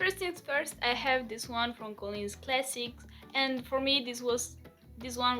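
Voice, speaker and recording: With a non-native accent, a woman speaks in a high pitch and a bright, sharp tone, using ordinary pitch variation. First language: not English. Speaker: book reviewer / video creator. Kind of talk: casual book review vlog.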